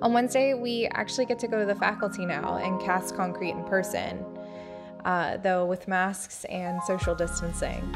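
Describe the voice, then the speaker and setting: A woman talks at a moderate pace with an American accent. Music can be heard behind her. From New Jersey. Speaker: architecture student. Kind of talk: casual vlog narration.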